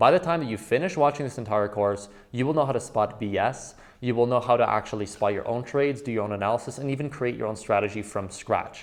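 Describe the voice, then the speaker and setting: The speech races at a very fast pace, its pitch moving in an ordinary way. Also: man, medium pitch for a man. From Quebec, Canada. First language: French. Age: 20s. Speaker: trading educator. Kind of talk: course introduction.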